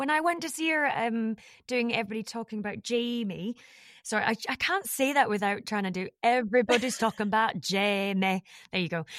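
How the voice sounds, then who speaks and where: A woman's fairly high voice with a Scottish accent and lively intonation, fairly quick, in a dry, close, very clean recording with a silent background and no echo. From Scotland. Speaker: podcast host, voiceover actor. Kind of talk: casual interview.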